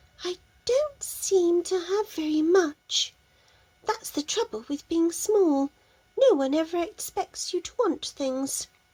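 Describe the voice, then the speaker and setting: Putting on a character voice, a woman speaks fairly slowly at an extremely high pitch. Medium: read story. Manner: polite, earnest.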